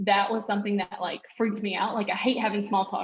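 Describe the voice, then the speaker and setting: A woman speaks with an American accent at a medium pitch. Her pace is fairly quick. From North Carolina. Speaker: entrepreneur, creative agency owner. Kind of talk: guest talk at virtual event. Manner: loud, talkative.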